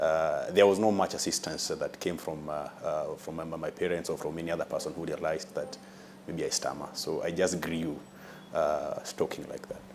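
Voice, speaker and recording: A man talks at a moderate speed while noticeable background noise fills the recording. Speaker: person who stammers. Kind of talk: TV interview. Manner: stammering, halting.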